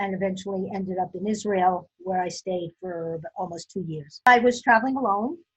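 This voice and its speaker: Speaking with an American accent and hardly any pauses, a woman at medium pitch sounds somewhat breathy, her loudness swinging widely. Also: ordinary pitch variation, moderate pace. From US Northeast, Brooklyn, New York. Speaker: interviewee, older adult. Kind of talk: life story interview. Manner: hesitant, many fillers.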